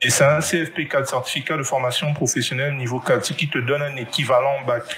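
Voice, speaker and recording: Using an unremarkable speaking voice, a man talks at a fairly quick pace with fairly even intonation. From Gabon. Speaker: 3D artist and entrepreneur. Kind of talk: interview.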